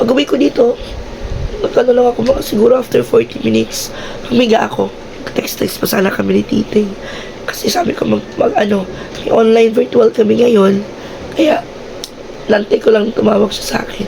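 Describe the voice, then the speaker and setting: A woman talks at a fairly quick pace but leaves long, frequent pauses, with noticeable background noise behind her. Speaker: vlogger. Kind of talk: casual vlog chat. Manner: animated.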